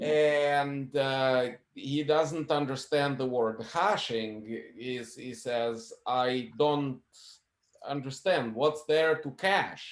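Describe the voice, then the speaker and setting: A man speaking at a very slow pace, his pitch fairly high. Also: ordinary pitch variation. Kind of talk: casual chat. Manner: halting.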